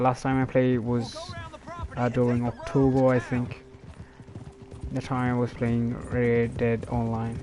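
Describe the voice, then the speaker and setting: Man speaking in monotone, flat intonation, with long, frequent pauses and noticeable background noise. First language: not English. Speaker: gaming streamer. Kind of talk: casual gameplay commentary. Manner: halting, many fillers.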